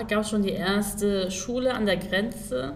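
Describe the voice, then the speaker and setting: A woman with a medium pitch speaks at a very slow pace with fairly even intonation. Noticeable background noise and audible room echo surround her. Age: 20s. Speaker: social worker. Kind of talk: casual chat.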